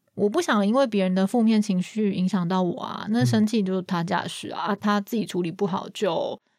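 A plain, everyday voice at a moderate pace, with ordinary pitch variation and hardly any pauses. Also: woman, medium pitch for a woman. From Taiwan. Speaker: marketing project manager. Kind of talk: interview.

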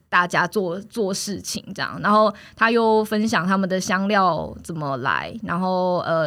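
A woman's normal speaking voice at medium pitch with ordinary pitch variation, on a very clean recording with a silent background. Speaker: food co-op member. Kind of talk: casual interview.

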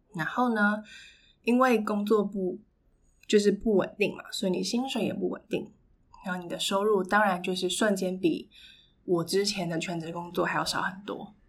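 Moderate pace and ordinary pitch variation from a woman of medium pitch, on a very clean recording with a silent background. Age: 20s. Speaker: podcast host. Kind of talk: solo monologue. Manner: hesitant fillers.

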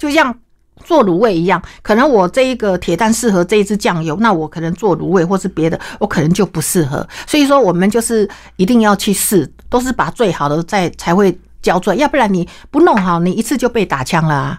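A woman's animated tone and lively intonation in a Taiwanese accent. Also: medium pitch for a woman, fairly quick pace. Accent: Taiwanese Mandarin. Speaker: cooking teacher and cookbook author. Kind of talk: interview.

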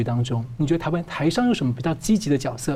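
A man speaks at a very fast pace with a fairly high pitch. His tone is dark and mellow and somewhat breathy. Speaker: news show host. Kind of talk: news talk show interview.

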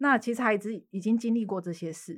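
A woman with a Taiwanese accent, fairly quick pace and ordinary pitch variation. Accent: Taiwanese Mandarin with Taiwanese Hokkien. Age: 30s. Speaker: lawyer. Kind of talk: casual chat.

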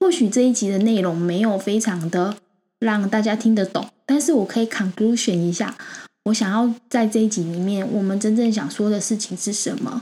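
Somewhat breathy, this woman's voice has a dark, mellow tone at a fairly high pitch, with ordinary pitch variation. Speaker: crypto podcast host. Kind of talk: casual chat.

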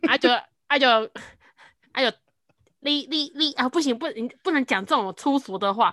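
A woman with a high pitch and a bright, sharp tone speaks at a moderate pace with lively intonation and long, frequent pauses, the sound dry and close with no echo on a very clean recording with a silent background. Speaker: podcaster and trainer. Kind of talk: casual chat. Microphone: new microphone.

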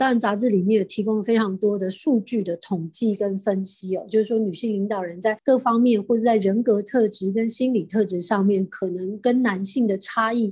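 A woman in a Taiwanese accent, somewhat breathy and dark, mellow in tone, with fairly even intonation. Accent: Taiwanese Mandarin. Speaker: real estate company chairwoman. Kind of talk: interview.

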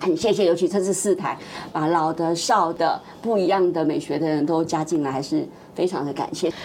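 A woman speaks at a fairly low pitch with fairly even intonation. Noticeable background noise is present. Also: moderate pace. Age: old. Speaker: TV producer. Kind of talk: casual chat. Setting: studio.

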